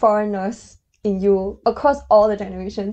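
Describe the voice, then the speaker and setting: With a Mandarin accent, the speaker talks at a moderate pace in a dark, mellow tone. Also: woman. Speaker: podcast co-host. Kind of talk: casual chat.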